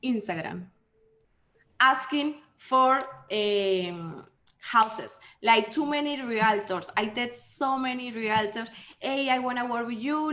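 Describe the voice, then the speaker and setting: A woman with a fairly high pitch and a bright, sharp tone speaks at a fairly slow pace with ordinary pitch variation, her voice carrying audible room echo. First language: not English. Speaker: solar sales rep. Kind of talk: casual chat. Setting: video call.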